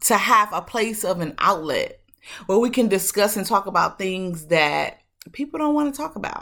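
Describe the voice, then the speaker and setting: A woman's bright, sharp yet warm tone with vocal fry, lively intonation and a fairly slow pace, in a very clean recording with a silent background. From Detroit, Michigan. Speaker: podcast host. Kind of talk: motivational monologue. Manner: casual, warm.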